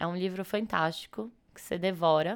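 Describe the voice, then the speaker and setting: Her pitch is fairly low, and this woman keeps a moderate pace. The recording is very clean against a silent background. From Brazil, São Paulo. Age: 20s. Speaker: edtech co-founder. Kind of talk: casual interview.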